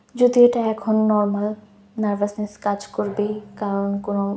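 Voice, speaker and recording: A woman talks at a fairly high pitch, with noticeable noise in the background. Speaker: cooking vlogger. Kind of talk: recipe tutorial voiceover. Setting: home, recorded at night.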